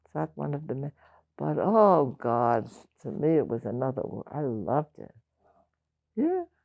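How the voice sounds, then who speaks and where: The speaker has a New York accent. The pace is fairly slow. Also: woman, long, frequent pauses. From Brooklyn, New York. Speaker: oral history interviewee. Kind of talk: oral history interview. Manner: halting, many restarts.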